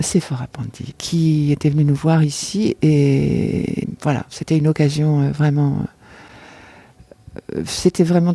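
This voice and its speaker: A woman's very deep, low voice at a very slow pace, with fairly even intonation, long, frequent pauses and noticeable background noise. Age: 60s. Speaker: amateur actress, theatre spectator. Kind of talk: interview testimony. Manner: halting, many hesitations and repetitions.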